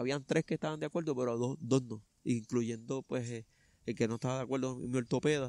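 A man's dark, mellow voice at a very fast pace, dry with no echo, over a quiet background. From Puerto Rico. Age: 30s. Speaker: runner and truck driver; interviewee. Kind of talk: interview testimony; interview answer. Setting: outdoors in a park. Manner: halting. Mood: earnest, reflective. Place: garden.

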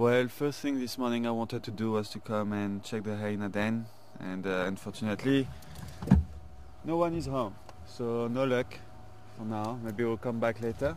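A man at a moderate pace with long, frequent pauses and ordinary pitch variation, a dry sound with no echo, and light background noise. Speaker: presenter. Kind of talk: live safari commentary. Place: open country.

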